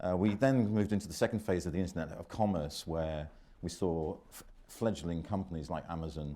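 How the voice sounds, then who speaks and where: With a very deep, low pitch and a dark, mellow tone, a man speaks at a fairly quick pace with ordinary pitch variation. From Britain. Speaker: panel moderator. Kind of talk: conference panel introduction. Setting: conference room with audience.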